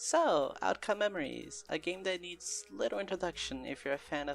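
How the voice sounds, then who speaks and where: Over music in the background, a speaker with a non-native accent talks at a fairly quick pace. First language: not English. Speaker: video essay narrator, gamer. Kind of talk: scripted video essay narration. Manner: some stumbles and stutters.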